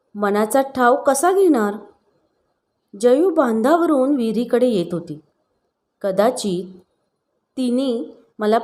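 A woman speaks in a fairly high pitch with an animated, dramatic tone. Her pitch swings very widely. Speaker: storytelling narrator. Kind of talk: dramatic story narration, read aloud. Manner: animated, tense and dramatic, emotive pacing.

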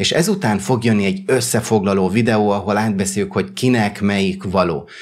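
This man's voice sits fairly low. Its pitch moves in an ordinary way. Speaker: YouTuber and tech reviewer. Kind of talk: product review.

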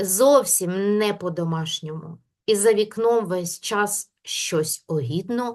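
In a natural voice, the passage is read aloud with little but quiet behind it.

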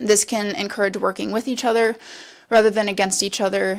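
There is vocal fry in this woman's medium-pitched voice. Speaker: university researcher. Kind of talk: presentation. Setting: city council meeting. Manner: fast.

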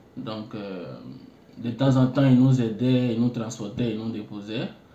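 A man's medium-pitched, dark and mellow voice with ordinary pitch variation and audible room echo. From Côte d'Ivoire, Bouaké. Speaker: international student. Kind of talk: interview. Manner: halting.

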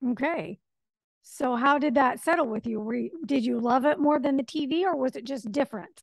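Against a quiet background, a woman speaks at a moderate pace in a high pitch with ordinary pitch variation, the sound dry with no echo. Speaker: radio show host. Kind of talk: interview. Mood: friendly, curious. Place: home room. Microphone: studio mic.

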